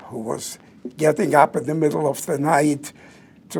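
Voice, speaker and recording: The man has a fairly high pitch and speaks with a non-native accent. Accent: foreign. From southern Poland. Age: 90s. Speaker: Holocaust survivor speaker, retired doctor. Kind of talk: public talk. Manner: preacher-like.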